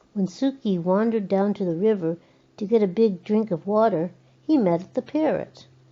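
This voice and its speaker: A woman at a moderate pace and medium pitch, with ordinary pitch variation and an ordinary speaking voice. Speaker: grandmother reading to her granddaughters. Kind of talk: children's picture book reading. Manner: warm, storytelling.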